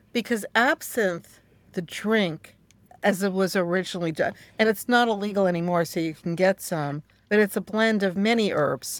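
A woman's medium-pitched voice with an American accent, an ordinary speaking voice at a moderate pace with ordinary pitch variation, dry and close with no echo on a very clean recording with a silent background. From New York. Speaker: author and witchcraft practitioner. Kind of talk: interview.

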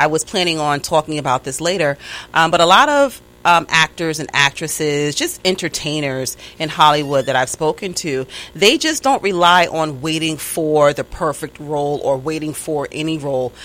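Her pitch is very deep and low. The woman talks at a moderate pace in a New York accent. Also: ordinary pitch variation. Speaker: interviewer. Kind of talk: casual interview chat.

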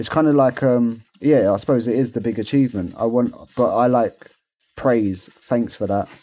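A man with a dark, mellow tone, fairly even intonation and a moderate pace. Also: medium pitch for a man. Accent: English. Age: 30s. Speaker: podcast co-host with type 1 diabetes. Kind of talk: casual chat.

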